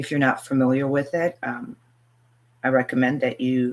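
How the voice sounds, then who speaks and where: Her voice very deep and low, a woman speaks at a fairly quick pace with ordinary pitch variation. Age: 60s. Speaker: spiritual teacher. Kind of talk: live stream Q&A. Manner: hesitant, many fillers.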